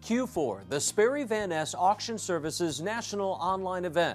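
With faint music in the background, a man talks in an upbeat tone at a moderate pace and a high pitch. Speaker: promotional presenter. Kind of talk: corporate promotional narration. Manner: upbeat, persuasive. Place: studio. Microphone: lapel.

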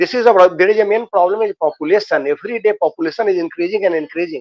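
Pitched high, a man talks at a very fast pace. The sound is dry with no echo, over a quiet background. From Bihar, India. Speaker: engineer, community member. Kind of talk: casual chat. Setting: video call. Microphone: video call.

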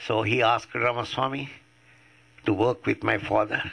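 A man with an Indian accent speaks at a fairly slow pace. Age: 80s+. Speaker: atheist activist. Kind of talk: public talk. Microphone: podium.

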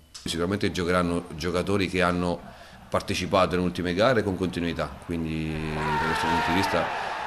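Through noticeable background noise, a man with a very deep, low pitch talks at a fairly quick pace with fairly even intonation. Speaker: football coach. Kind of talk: press conference. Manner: halting, repeats words. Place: meeting room. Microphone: podium.

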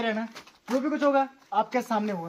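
Audible room echo follows a man talking at a moderate pace.

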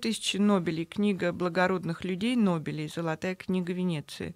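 Against a quiet background, a woman speaks at a medium pitch with fairly even intonation, the sound dry with no echo. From Moscow, Russia; Russia. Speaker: novelist; guest. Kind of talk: radio interview. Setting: radio studio. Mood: calm, engaged storytelling. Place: studio. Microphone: studio mic.

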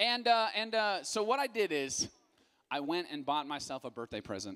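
A man speaks in a raised, projected voice with a bright, sharp tone. His pace is moderate, and the background is quiet. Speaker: youth pastor. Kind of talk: sermon. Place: stage. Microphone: handheld.

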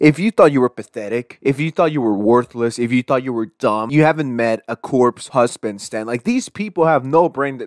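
A man talks at a moderate pace with hardly any pauses, in an ordinary speaking voice. His medium pitch shows ordinary variation, and the sound is dry and close with no echo. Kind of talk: rant commentary.

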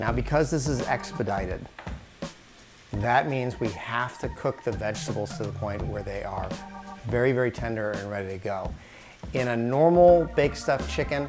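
Over clear background music, a man speaks at a moderate pace with long, frequent pauses. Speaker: cooking show host. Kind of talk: tutorial. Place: kitchen.

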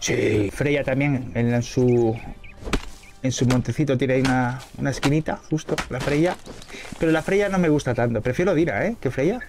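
Over noticeable background noise, a man speaks at a medium pitch. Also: ordinary pitch variation, moderate pace. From Spain. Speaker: gaming streamer. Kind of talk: casual gameplay chat. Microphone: studio mic.

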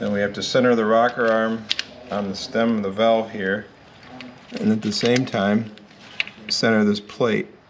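With noticeable background noise behind him, a man talks at a moderate pace in monotone, flat intonation. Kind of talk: tutorial. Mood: patient, matter-of-fact. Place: garage. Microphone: phone near.

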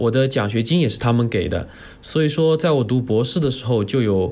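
This is a man with a normal speaking voice. His pitch is medium, with ordinary variation. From Jiangsu, China. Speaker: postdoctoral researcher. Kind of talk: casual interview chat. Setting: remote recording over the internet.

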